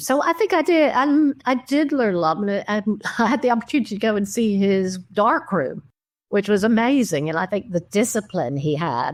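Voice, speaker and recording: A woman's medium-pitched voice swings very widely in pitch at a moderate pace, in a very clean recording with a silent background. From New York. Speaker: documentary photographer. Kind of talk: interview. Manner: halting.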